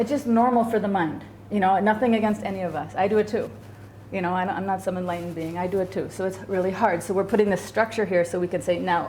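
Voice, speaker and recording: Talking at a very fast pace, a woman with a medium pitch and ordinary pitch variation is heard with audible room echo. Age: 50s. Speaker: psychologist teaching a class. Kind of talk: lecture. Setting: class with students. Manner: casual, conversational.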